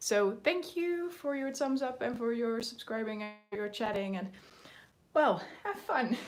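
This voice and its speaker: A woman speaks in a Dutch accent at a fairly slow pace. Her pitch makes very wide swings. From Netherlands. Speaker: mixed media artist. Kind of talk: live stream art tutorial. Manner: hesitant, many fillers.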